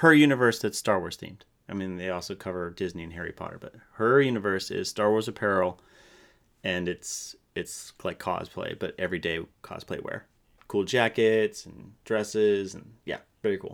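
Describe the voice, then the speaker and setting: Over a silent background in a very clean recording, a man with a plain, everyday voice speaks at fairly low pitch, with ordinary pitch variation and big swings in loudness. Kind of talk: casual banter, answering quiz questions as a contestant. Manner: laughing, jokey, quick to interject.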